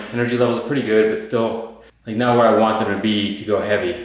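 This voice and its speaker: A man's monotone, flat delivery at medium pitch and a moderate pace, with audible room echo. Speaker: fitness vlogger. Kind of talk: casual vlog. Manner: hesitant, with fillers.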